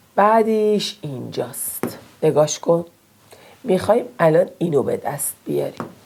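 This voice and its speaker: Over noticeable background noise, a woman with a fairly low-pitched voice speaks at a fairly slow pace. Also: lively intonation. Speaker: math teacher. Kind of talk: tutorial. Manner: casual, encouraging.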